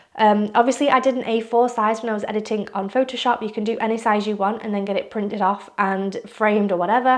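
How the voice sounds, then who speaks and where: A woman with a fairly high voice talks at a very fast clip in a flat monotone, with hardly any pauses. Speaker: art and photo editing youtuber. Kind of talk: tutorial.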